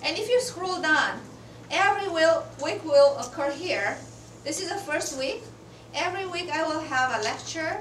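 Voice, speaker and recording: Lively intonation comes at a moderate pace, with audible room echo around the voice. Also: woman, extremely high pitch for a woman. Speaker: university professor. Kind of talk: lecture.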